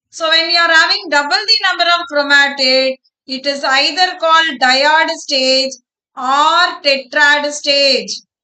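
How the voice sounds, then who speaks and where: A woman uses a raised, projected voice with a high pitch and a bright, sharp tone. She talks at a very slow pace with ordinary pitch variation. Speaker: biology teacher. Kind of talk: online live class lecture. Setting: online live class. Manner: slow, deliberate.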